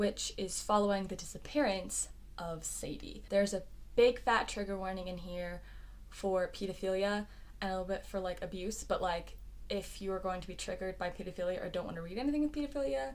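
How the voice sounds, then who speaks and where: Room echo can be heard as a woman talks fairly quickly. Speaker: book reviewer. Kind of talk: casual vlog review. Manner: fast; animated.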